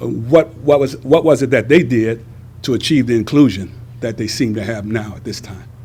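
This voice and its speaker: At a fairly quick pace, a man uses a normal speaking voice with ordinary pitch variation and big swings in loudness. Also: medium pitch for a man. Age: 60s. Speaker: graduate student. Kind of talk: interview answer.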